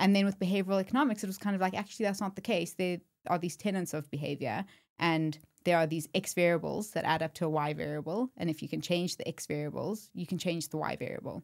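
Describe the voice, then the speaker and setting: On a very clean recording with a silent background, a woman with a South African accent speaks very fast at a fairly low pitch with ordinary pitch variation. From South Africa, Johannesburg. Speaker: startup co-founder. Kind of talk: podcast interview.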